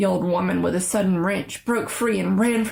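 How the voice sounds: What comes across is a natural reading voice.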